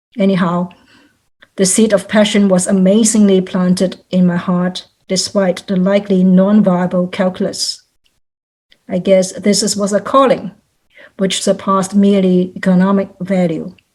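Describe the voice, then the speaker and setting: With a Cantonese accent, a woman speaks at a medium pitch and moderate pace, somewhat breathy, with a dark, mellow tone and monotone, flat intonation. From Hong Kong. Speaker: volunteer. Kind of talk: testimony. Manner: formal.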